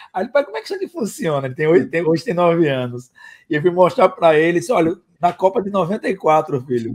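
Over a quiet background, the speech comes at a very fast pace with lively intonation. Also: man, high pitch for a man. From Rio de Janeiro, Brazil. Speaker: marketing consultant and startup mentor; guest. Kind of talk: interview. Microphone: video call.

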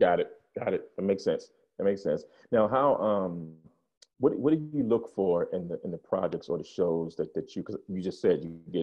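A man's moderate-paced speech sits over a quiet background. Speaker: podcast host. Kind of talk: podcast interview questions. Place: home room. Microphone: video call.

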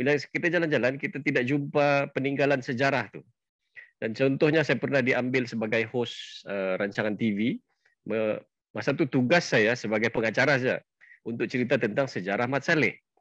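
With a quiet background and dry sound with no echo, a man talks at a fairly quick pace with ordinary pitch variation. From Sabah, Malaysia (Bisaya parents). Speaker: event host, travel club founder; channel host explaining history. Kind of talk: introduction speech. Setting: Facebook live session. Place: home room. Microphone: headset.

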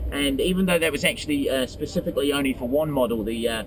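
The delivery is very fast, with lively intonation. The sound is dry with no echo, over noticeable background noise. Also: man. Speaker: car show host. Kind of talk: commentary. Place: car.

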